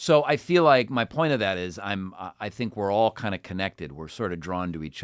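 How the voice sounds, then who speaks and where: A voice with an American accent moves at a moderate pace with lively intonation. The recording is very clean, with a silent background. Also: man. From Cleveland, Ohio, US. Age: 40s. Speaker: voice actor and impressionist. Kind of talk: casual interview chat.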